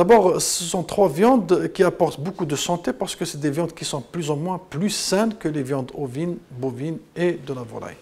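A man with a high pitch and a dark, mellow tone speaks at a moderate pace with hardly any pauses, his pitch varying in an ordinary way. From Algeria. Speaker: consumer association president. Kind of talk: interview soundbite. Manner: hesitant, repeats words. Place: studio.

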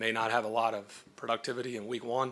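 A man talks with monotone, flat intonation. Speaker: head coach. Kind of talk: press conference answer. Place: hall. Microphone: podium.

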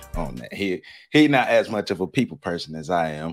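An upbeat male voice over clear background music. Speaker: podcast host. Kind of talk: podcast intro. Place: home room. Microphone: earbuds.

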